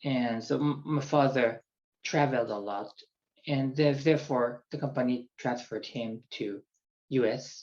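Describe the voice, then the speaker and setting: At a fairly slow pace, a man with a Japanese accent talks at a medium pitch with fairly even intonation. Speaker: executive coach. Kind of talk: personal introduction monologue. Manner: halting.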